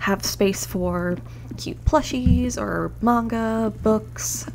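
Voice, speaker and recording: A woman is soft-spoken. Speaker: gaming youtuber. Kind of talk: scripted narration.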